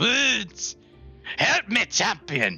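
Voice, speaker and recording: Over faint music in the background, someone performs a put-on character voice at a fairly high pitch. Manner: voice impression.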